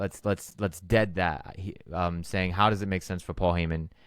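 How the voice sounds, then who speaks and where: Recorded very cleanly against a silent background, a man speaks at a very deep, low pitch. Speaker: wrestling podcast host. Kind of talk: casual chat. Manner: fast.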